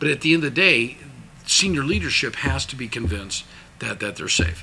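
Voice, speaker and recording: A fairly quick delivery in an American accent, with very wide pitch swings. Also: man, medium pitch for a man. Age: 60s. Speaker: businessman. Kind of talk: interview. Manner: animated, emphatic; many repetitions and restarts.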